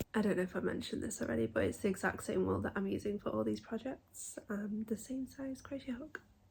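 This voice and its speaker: A woman talks at a fairly quick pace with a British accent. Her loudness swings widely. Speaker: crochet vlogger. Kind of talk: casual vlog tutorial. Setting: in bed at home.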